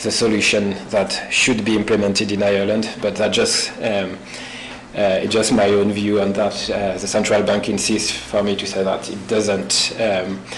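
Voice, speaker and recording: In a French accent, a man speaks at a fairly low pitch and a fairly slow pace. There is audible room echo and noticeable background noise. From France. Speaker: visiting postdoctoral researcher. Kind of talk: academic seminar presentation.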